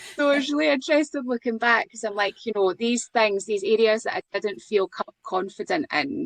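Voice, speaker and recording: A woman with a Scottish accent speaks at a fairly high pitch and a moderate pace, with lively intonation and hardly any pauses. The sound is dry and close, with no echo. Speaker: podcast co-host. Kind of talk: casual chat.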